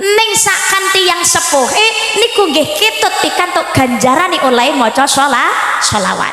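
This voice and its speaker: A woman with an extremely high pitch uses a raised, projected voice at a fairly slow pace, with noticeable background noise and audible room echo. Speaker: Islamic preacher. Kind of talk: sermon.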